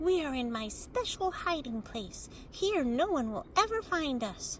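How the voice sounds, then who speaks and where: Someone performs a put-on character voice at a moderate pace. Background noise is clearly audible. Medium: read story. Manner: playful.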